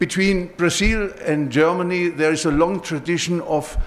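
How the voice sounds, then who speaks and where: The speaker is a man. He talks at a moderate pace with ordinary pitch variation. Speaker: professor. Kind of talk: lecture. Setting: auditorium. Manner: halting.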